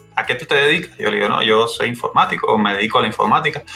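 Over background music, a man talks at a fairly quick pace. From Cuba. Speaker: industrial engineer and IT specialist. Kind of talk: interview conversation. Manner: halting, many repeated words.

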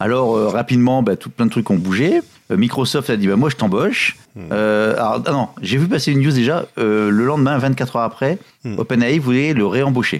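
With a plain, everyday voice, a man talks at a moderate pace and medium pitch with ordinary variation, on a very clean recording with a silent background. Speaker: tech podcast co-host. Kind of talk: casual chat. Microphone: new equipment.

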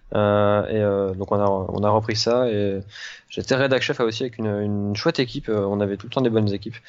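A man with an unremarkable speaking voice, a fairly low pitch and fairly even intonation, at a fairly quick pace. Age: 20s. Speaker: video game journalist. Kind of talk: casual interview.

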